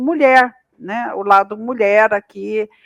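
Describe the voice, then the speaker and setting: A woman's very slow speech, dry and close with no echo. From interior of São Paulo state, Brazil. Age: 60s. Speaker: agricultural scientist. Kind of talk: podcast interview. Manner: hesitant, many fillers.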